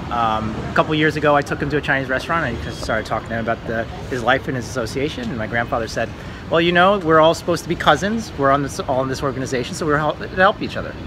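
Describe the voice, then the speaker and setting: A very fast man with an American accent, fairly high in pitch, lively in intonation, over noticeable background noise. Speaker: travel vlogger. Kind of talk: casual storytelling.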